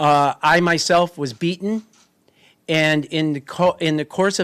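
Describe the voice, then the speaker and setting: A man with a plain, everyday voice and a fairly high pitch speaks with ordinary pitch variation in a very clean recording, with a silent background and a dry, close sound with no echo. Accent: American. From United States. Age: 60s. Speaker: activist. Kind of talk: press conference statement.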